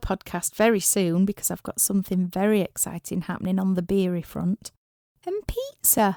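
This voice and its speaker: A woman with a Yorkshire accent talks at a fairly quick pace in a dark, mellow tone. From Yorkshire, northern England. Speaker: rock musician and podcast host. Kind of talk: scripted podcast monologue.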